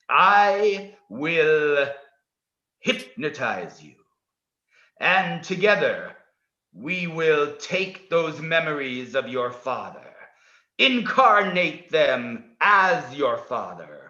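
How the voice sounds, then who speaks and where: Using a put-on character voice, a man speaks in a high pitch at a very slow pace. He leaves long, frequent pauses, and there is slight echo. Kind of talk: hypnotic guided meditation. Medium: stage play. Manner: formal, measured, no contractions.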